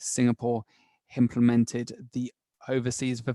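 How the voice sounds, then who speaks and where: This man talks at a moderate pace with a medium pitch and a dark, mellow tone. The sound is dry and close, with no echo. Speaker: tax advisor. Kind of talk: webinar presentation. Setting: online webinar.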